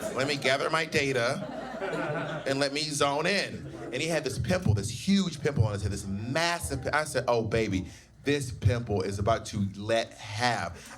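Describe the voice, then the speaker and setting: With a Southern US accent, a man speaks fairly slowly at a medium pitch with lively intonation, and noticeable background noise surrounds him. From US South. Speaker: drag queen and stand-up comedian. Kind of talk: personal storytelling bit. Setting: live venue with audience.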